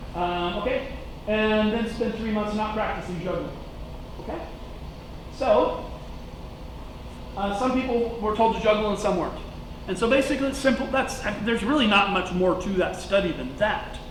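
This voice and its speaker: There is audible room echo and noticeable background noise as a man speaks with long, frequent pauses. His pitch is high, with ordinary pitch variation. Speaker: teacher. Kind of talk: lecture. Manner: fast; casual, halting with fillers.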